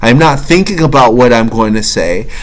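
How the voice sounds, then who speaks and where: A man's voice with audible room echo. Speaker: self-help vlogger. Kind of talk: motivational monologue. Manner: preachy.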